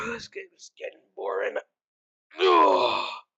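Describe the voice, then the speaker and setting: Putting on a character voice, a woman speaks at a fairly slow pace in an extremely high, raspy pitch. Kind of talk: casual let's-play read-aloud. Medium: solo performance. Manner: casual, deadpan.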